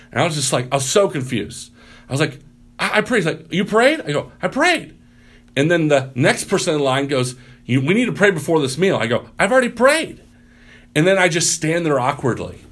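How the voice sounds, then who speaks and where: A man's fairly high, lively voice, an unremarkable speaking voice with a General American accent, at a fairly quick pace. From US Midwest. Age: 30s. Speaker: pastor. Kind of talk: casual interview chat. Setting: podcast interview.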